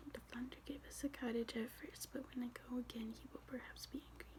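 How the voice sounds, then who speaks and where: A soft-spoken voice talks at a moderate pace. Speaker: ASMR content creator. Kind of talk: ASMR soft-spoken reading with word repetition. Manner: soft-spoken, relaxing.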